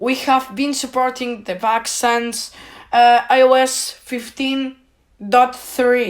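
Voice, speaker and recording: A woman speaks at a high pitch in a Spanish accent. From Spain. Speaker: tech YouTuber. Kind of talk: video monologue complaint. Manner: halting.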